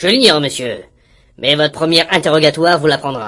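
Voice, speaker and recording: Using a put-on character voice, a man talks at a fairly quick pace with lively intonation. His voice is raspy and fairly high in pitch. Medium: audio drama. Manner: cold, formal.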